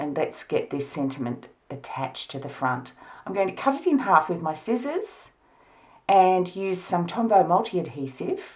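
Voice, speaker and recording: A woman with an Australian accent, at a moderate pace, with very wide pitch swings. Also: medium pitch for a woman. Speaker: card-making crafter. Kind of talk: tutorial.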